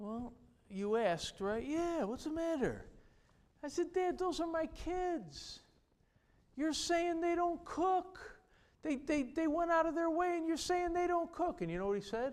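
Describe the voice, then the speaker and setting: Lively intonation in a New York accent at a fairly slow pace, with long, frequent pauses and audible room echo. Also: man, extremely high pitch for a man. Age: 60s. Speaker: pastor. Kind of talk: sermon. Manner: animated.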